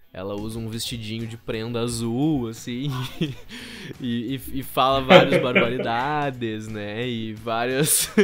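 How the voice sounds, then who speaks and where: Over music in the background and with audible room echo, a man at a medium pitch speaks at a very slow pace with fairly even intonation and big swings in loudness. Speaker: theatre teacher and storyteller. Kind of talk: podcast interview. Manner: hesitant, many fillers.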